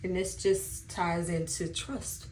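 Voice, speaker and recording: A woman's voice carries audible room echo. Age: 30s. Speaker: beauty vlogger. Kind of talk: casual chat.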